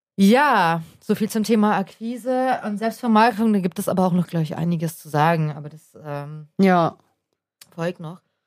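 The intonation here is lively. A woman delivers it at a moderate pace. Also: medium pitch for a woman, big swings in loudness. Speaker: podcast co-host, creative freelancer. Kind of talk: casual chat. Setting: studio.

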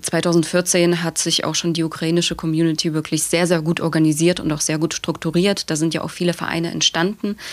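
Her intonation monotone and flat, a woman speaks at a fairly low pitch and a fairly quick pace. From Germany, Dresden (Saxony). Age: 20s. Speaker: activist. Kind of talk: podcast interview.

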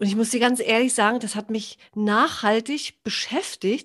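An ordinary speaking voice from a woman, fairly high in pitch and at a fairly slow pace, against a quiet background. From northern Germany, Baltic coast. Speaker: podcast host, health coach. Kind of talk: casual interview chat.

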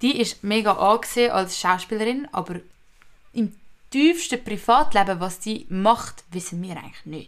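In an unremarkable speaking voice, a woman talks at a moderate pace with lively intonation. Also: fairly high pitch for a woman. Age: young. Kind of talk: casual chat.

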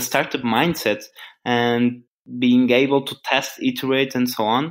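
A man with a Portuguese accent. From Portugal. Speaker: startup founder. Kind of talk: interview.

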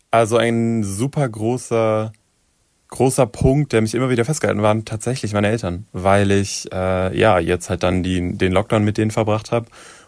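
A man's fairly low voice at a moderate pace with fairly even intonation on a very clean recording with a silent background. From southern Hesse, Germany. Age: 20s. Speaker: pop singer. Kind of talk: interview.

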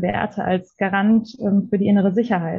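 A somewhat breathy woman's voice at a medium pitch, flat and monotone, at a fairly slow pace. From Germany, Ruhr area (Witten). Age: 20s. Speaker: police officer. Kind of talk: interview.

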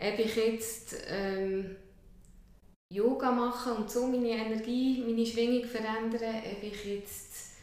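Very slowly and in a monotone, flat way, a woman speaks at a fairly high pitch. Noticeable background noise and audible room echo fill the recording. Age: 40s. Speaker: kinesiologist. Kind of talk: interview. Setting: her practice.

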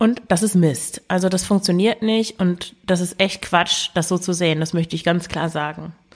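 With hardly any pauses, a woman speaks in fairly even intonation. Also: fairly low pitch for a woman, moderate pace. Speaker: podcast host and eating coach. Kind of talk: solo podcast monologue. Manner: spontaneous with hesitations and fillers.

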